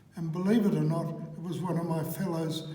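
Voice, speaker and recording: Speaking over noticeable background noise, a man with a New Zealand accent has a high pitch. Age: 80s+. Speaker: author and trainer. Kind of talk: interview answer.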